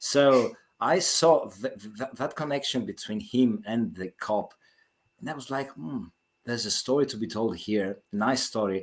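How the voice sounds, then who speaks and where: With a Greek accent, the speaker moves at a moderate pace through very wide pitch swings. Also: man, medium pitch for a man. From Greece. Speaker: author. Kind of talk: interview. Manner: halting, many repetitions.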